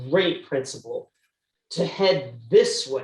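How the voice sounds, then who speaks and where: With lively intonation, the voice sounds passionate, animated and somewhat breathy. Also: woman. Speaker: business school dean. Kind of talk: interview conversation.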